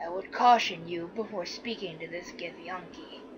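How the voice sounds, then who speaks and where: Putting on a character voice, a woman talks at a moderate pace and fairly low pitch against clear background noise. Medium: solo performance. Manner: solemn, formal.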